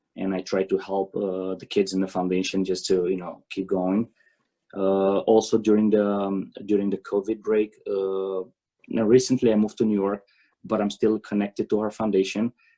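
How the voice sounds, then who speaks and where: Speaking with a Romanian accent, a man has a fairly low pitch and a dark, mellow tone. His intonation is monotone and flat, at a moderate pace. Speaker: tennis coach. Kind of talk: conference presentation. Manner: halting.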